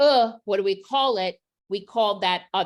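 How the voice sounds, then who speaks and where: A plain, everyday voice comes through a very clean recording with a silent background, at a fairly slow pace with ordinary pitch variation. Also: woman. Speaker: literacy educator. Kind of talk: professional development presentation.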